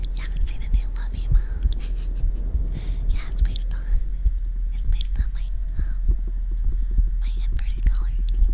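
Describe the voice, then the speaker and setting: The speech moves at a moderate pace with long, frequent pauses. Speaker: VTuber streamer. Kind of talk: ASMR livestream chatting to viewers. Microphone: studio mic.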